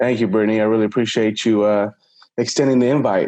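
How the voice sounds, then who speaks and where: Speaking very fast with an American accent, a man has a medium pitch, a dark, mellow tone and monotone, flat intonation. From Houston, Texas (south side). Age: 30s. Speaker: petroleum engineer. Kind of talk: podcast interview. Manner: hesitant, many fillers.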